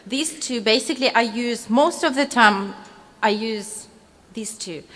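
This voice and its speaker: A woman with a fairly high voice and a non-native accent speaks at a fairly slow pace, with ordinary pitch variation and big swings in loudness. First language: not English. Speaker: cake decorating instructor. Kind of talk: live demonstration tutorial. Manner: halting, many fillers.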